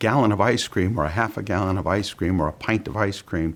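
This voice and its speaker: The speaker is a man. The recording is very clean, and the background is silent. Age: 60s. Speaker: bariatric surgery patient. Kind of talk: testimonial interview.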